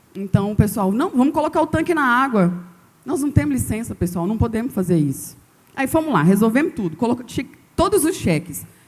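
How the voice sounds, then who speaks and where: Her pitch fairly high and swinging very widely, a woman talks at a fairly quick pace with vocal fry. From Brazil, northern Goiás. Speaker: agronomist and fish farmer on a panel. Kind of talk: panel talk to an audience. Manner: animated.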